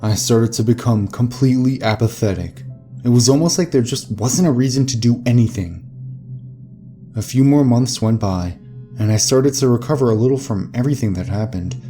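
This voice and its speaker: With music in the background, a man speaks at a fairly quick pace with ordinary pitch variation. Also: medium pitch for a man. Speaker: narrator. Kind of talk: horror story narration.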